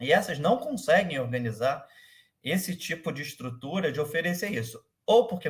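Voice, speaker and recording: A man talks at a moderate pace with very wide pitch swings. His voice is somewhat breathy. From Rio de Janeiro, Brazil. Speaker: startup manager. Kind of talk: interview. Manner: halting, many fillers.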